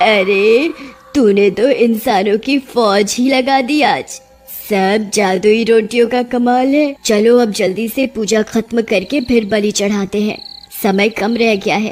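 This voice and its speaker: With faint music in the background, a female-sounding, cartoonish character voice speaks at a fairly slow pace and a fairly high pitch. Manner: commanding.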